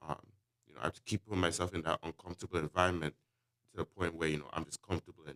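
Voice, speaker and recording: Vocal fry marks a man's very deep, low voice, heard in a dry, close sound with no echo. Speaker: university student. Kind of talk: casual chat. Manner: hesitant, many ums.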